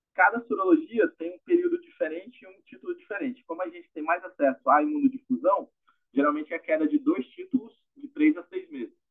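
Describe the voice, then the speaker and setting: Speaking at a fairly quick pace, a man with an extremely high pitch makes very wide pitch swings and big swings in loudness. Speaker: medical resident presenting a case. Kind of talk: case presentation.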